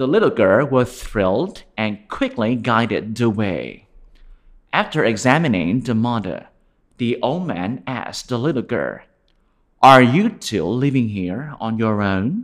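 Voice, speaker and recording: A man with an ordinary speaking voice talks at a fairly slow pace, his medium pitch carrying lively intonation over a quiet background. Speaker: storyteller. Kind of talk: fairy-tale narration for children. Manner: gentle, warm, slow-paced storytelling.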